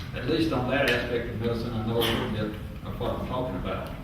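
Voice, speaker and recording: With a Southern US accent, a man of medium pitch talks very fast in fairly even tones, with audible room echo and noticeable background noise. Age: 70s. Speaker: public hearing witness. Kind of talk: testimony. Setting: public hearing with microphone. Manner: halting with frequent fillers.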